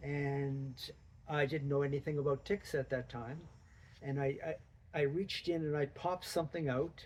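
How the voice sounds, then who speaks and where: A man talks in a fairly high, somewhat breathy voice with fairly even intonation. He leaves long, frequent pauses. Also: moderate pace. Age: 70s. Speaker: amateur runner with Lyme disease. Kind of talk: interview. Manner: halting.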